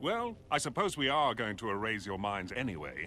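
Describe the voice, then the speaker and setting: In a British accent, this speaker moves at a moderate pace with very wide pitch swings while music plays in the background. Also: man, medium pitch for a man. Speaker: cartoon character, secret society leader.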